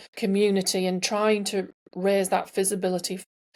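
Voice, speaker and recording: Someone with an English accent speaks in a monotone, flat intonation. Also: woman. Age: 60s. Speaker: entrepreneur and sustainability advocate. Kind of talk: podcast interview.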